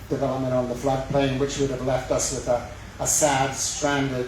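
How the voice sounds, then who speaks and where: A man's monotone, flat delivery at a fairly quick pace, with audible room echo and noticeable background noise. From west of Scotland. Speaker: mayoral candidate. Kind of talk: campaign speech. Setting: public forum with live audience.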